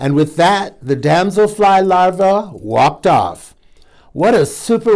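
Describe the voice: What this recording holds is plain reading aloud.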